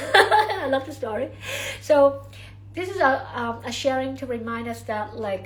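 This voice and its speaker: Through audible room echo and noticeable background noise, a woman speaks at a moderate pace. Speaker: spiritual channeler. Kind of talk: livestream talk. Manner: many fillers and repetitions.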